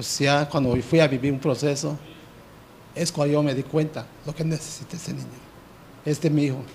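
Flat, monotone intonation at a fairly quick pace, with long, frequent pauses and light background noise. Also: man, fairly high pitch for a man. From Yucatán Peninsula, Mexico, Maya village. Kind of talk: testimony. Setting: TV studio. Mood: earnest personal confession. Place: studio. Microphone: handheld.

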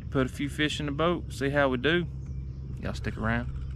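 Noticeable background noise behind a male voice, dry and without any echo. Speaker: fishing vlogger. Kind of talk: casual vlog chat. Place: boat. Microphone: phone near.

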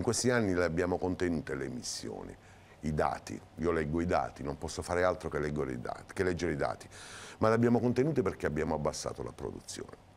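Over light background noise, a man talks at a very fast pace with a very deep, low pitch and vocal fry. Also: lively intonation. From southern Italy. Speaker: mayoral candidate. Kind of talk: TV interview. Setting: TV studio. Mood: earnest political argument. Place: studio. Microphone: lapel.

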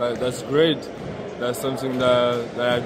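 A man speaks with a French accent over loud background noise, the sound dry with no echo. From France. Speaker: basketball prospect. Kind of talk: interview. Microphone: phone near.

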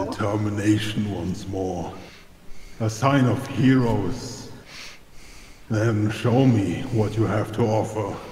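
In a put-on character voice, a man speaks fairly slowly at a fairly low pitch. There is a clear echo and clear background noise. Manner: haughty, challenging.

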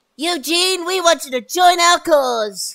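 A cartoonish character voice at an extremely high pitch, fairly slow pace, very clean recording with a silent background

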